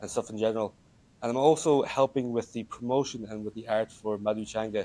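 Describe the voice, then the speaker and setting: A dark, mellow voice in an Irish accent, monotone and flat, at a moderate pace. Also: man. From Ireland, Wexford. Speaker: student and games company founder. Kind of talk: podcast interview. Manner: halting.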